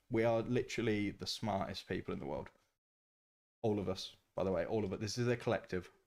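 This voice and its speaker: With a Birmingham accent, a man talks at a fairly quick pace. His pitch is fairly low, with ordinary variation. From Birmingham, England. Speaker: gaming streamer. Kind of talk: live stream gameplay commentary. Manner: animated.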